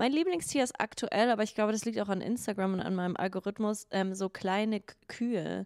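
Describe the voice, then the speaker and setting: A woman talks at a medium pitch with fairly even intonation. The background is quiet. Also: dry sound with no echo. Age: 30s. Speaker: podcast co-host. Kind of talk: casual chat. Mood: playful, laughing. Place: studio. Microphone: handheld.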